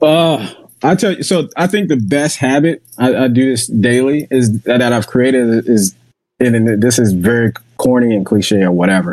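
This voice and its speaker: A man with a plain, everyday voice and an American accent speaks at a medium pitch and moderate pace, with lively intonation and very even loudness. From Jacksonville, Florida. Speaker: baseball scout. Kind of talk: casual interview.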